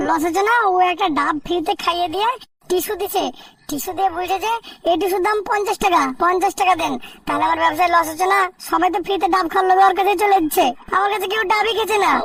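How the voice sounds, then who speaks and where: Pitched extremely high, a cartoonish character voice rattles along at a fairly quick pace. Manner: loud, rough-spoken.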